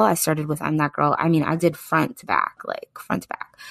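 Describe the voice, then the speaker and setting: At a fairly quick pace, a woman talks in a dry, close recording with no echo. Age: 30s. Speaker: podcast host. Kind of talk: casual chat. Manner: animated.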